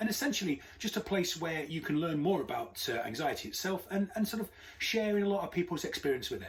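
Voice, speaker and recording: A man talks at a very fast pace. Noticeable background noise sits behind his voice. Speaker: anxiety coach and podcast host. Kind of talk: interview podcast. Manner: chirpy.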